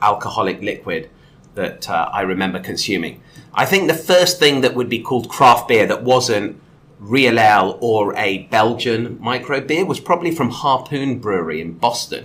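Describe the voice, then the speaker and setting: This man speaks with a West Country accent at a medium pitch and a moderate pace. His tone is bright and sharp, and his intonation is lively. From England, Exeter in Devon. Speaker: podcast guest, content creator. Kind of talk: casual chat.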